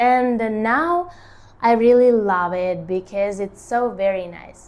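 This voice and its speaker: Very slow speech comes from a woman with a non-native accent. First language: not English. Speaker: artist and lifestyle vlogger. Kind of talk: casual talk to camera. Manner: halting, with many fillers.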